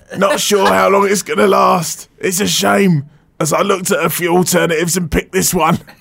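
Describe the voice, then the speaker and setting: Noticeable noise in the background accompanies fairly quick speech. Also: man, high pitch for a man, ordinary pitch variation. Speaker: radio show host. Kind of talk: casual radio chat. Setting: radio studio. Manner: bantering, laughing.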